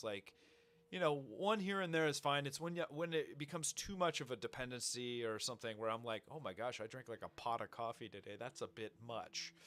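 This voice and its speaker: This man's voice sits at a medium pitch, with lively intonation and an animated tone. He speaks at a very fast pace. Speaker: podcast host, small business owner and maker. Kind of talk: casual chat.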